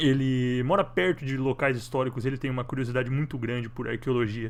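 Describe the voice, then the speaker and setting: Fairly quick and with fairly even intonation, a man speaks at medium pitch in an ordinary speaking voice. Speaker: online show host. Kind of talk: interview.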